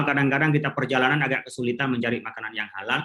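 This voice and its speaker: This is a man speaking. He has an Indonesian accent. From Madura, Indonesia. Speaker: Islamic scholar. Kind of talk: conference talk.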